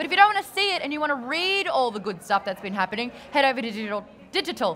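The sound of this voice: A woman's high-pitched, raised and projected voice at a very fast pace, with noticeable background noise.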